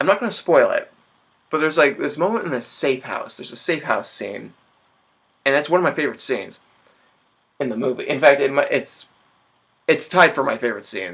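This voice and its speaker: This man's fairly high voice moves at a fairly quick pace, with very wide pitch swings, vocal fry, and long, frequent pauses. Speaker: vlogger, film reviewer. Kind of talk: casual vlog review. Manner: halting, stammers.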